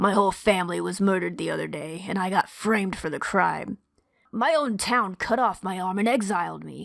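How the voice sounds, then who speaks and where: A woman speaks fairly quickly in a put-on character voice, gruff and raspy, at a medium pitch. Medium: actual play. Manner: gruff, glum.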